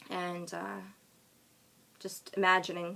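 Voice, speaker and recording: In an American accent, this woman's voice comes through with a bright, sharp tone. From Long Island, New York. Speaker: author. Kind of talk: live stream chat. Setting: live social media video. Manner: hesitant, many ums.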